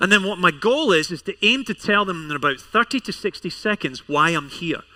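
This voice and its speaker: High-pitched man with a Scottish accent, raised and projected, bright and sharp in tone, fairly quick with lively intonation, dry and close with no echo in a very clean recording with a silent background. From Scotland. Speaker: pastor. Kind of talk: sermon. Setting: church service with congregation.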